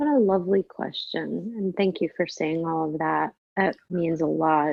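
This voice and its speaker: A woman speaks at a fairly slow pace. Her voice is fairly low, with ordinary pitch variation. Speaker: tarot teacher and intuitive guide. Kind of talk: interview conversation. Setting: podcast interview.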